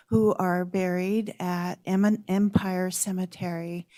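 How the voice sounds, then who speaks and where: Soft-spoken and medium in pitch, a woman talks in a dark, mellow tone with fairly even intonation on a very clean recording with a silent background. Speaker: public commenter. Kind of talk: public comment speech.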